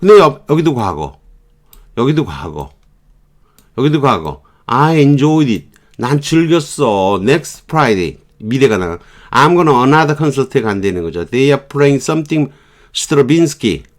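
A man with a fairly high pitch speaks at a very slow pace with long, frequent pauses, on a very clean recording against a silent background. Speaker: English teacher. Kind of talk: lecture. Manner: halting.

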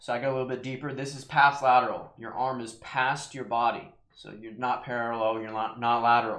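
A man talks at a moderate pace with a monotone, flat intonation, with audible room echo over a quiet background. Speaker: fitness vlogger. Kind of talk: tutorial. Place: home room. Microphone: webcam.

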